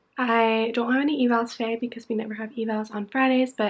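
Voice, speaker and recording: A woman talks at a fairly quick pace and a fairly high pitch, in a plain, everyday voice. The recording is very clean, with a silent background. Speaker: physical therapy student vlogger. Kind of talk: vlog narration. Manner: casual, chatty.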